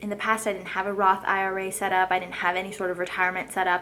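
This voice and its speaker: A woman with noticeable background noise. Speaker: lifestyle vlogger. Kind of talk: casual vlog talk to camera. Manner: fast.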